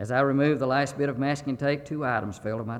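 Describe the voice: Someone gives a plain reading aloud. The words come out as they are written.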